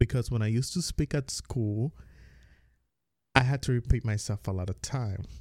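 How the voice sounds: With an American accent, the voice has a slightly mellow tone and ordinary pitch variation. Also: man.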